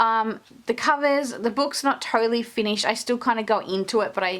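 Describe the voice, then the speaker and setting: A woman's fairly high, fairly quick voice with lively intonation and an Australian accent. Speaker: stationery and journaling youtuber. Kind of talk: casual show-and-tell flip-through. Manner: casual, many filler words.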